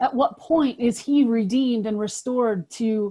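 Against a quiet background, a woman speaks very slowly at a high pitch, her dark, mellow tone carried by lively intonation. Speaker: pretrial services worker; webinar presenter. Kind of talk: reflective talk. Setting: video call. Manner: impassioned. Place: home room. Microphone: webcam.

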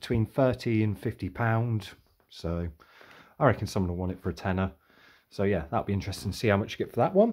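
There's a quiet background as a man with a fairly low pitch talks at a fairly quick pace, with ordinary pitch variation. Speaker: car boot sale reseller. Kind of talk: casual vlog chat. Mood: relaxed, cheerful. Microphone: phone near.

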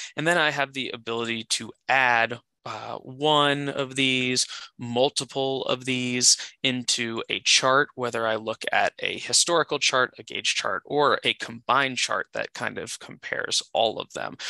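A man speaks at a medium pitch in a bright, sharp tone. He goes at a fairly slow pace, and the sound is dry and close with no echo. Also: fairly even intonation. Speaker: software product specialist. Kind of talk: live product demo.

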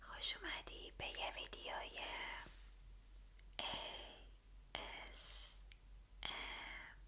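A woman whispers in a soothing tone at a very slow pace. Long pauses come often. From Iran. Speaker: ASMR creator. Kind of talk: ASMR whispered book reading to camera. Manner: soft-spoken, soothing, friendly. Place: home room. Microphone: studio mic.

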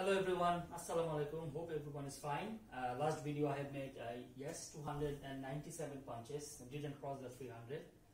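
A man's very fast delivery with hardly any pauses and fairly even intonation, light background noise and audible room echo. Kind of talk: casual vlog chat. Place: home room. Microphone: camera far.

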